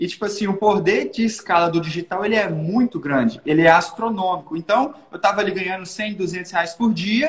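A man speaks at a moderate pace in a high pitch, his pitch varying in an ordinary way. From Minas Gerais, Brazil (Governador Valadares). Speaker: digital marketing entrepreneur. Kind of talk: casual interview.

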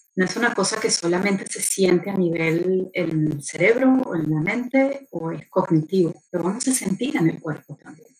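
Speaking at a moderate pace with hardly any pauses, the voice shows lively intonation and big swings in loudness. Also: woman, medium pitch for a woman. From Argentina, later Venezuela. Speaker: journalist and motorsport communications professional. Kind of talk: interview conversation. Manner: animated.

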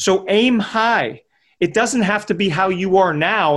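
The speaker is a man with an energetic tone. He keeps a moderate pace. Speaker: podcast host and health coach. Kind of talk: motivational monologue.

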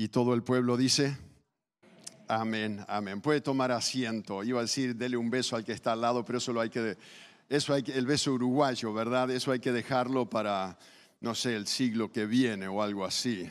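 A man talks at a moderate pace in a plain, everyday voice of medium pitch. His intonation stays fairly even. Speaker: missionary preacher. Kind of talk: sermon. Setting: church.

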